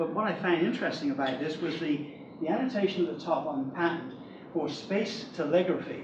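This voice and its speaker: There is noticeable background noise and audible room echo as a man speaks in a high voice. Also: ordinary pitch variation, fairly quick pace. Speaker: electrical engineer. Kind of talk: lecture. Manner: fast.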